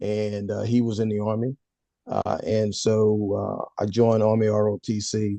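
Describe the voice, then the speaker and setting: A man's medium-pitched voice with an American accent, dark and mellow in tone, flat and monotone, in a dry, close sound with no echo. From Southeast Texas and south Louisiana (Jeanerette). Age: 70s. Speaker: retired army officer and former federal executive. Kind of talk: interview, life story.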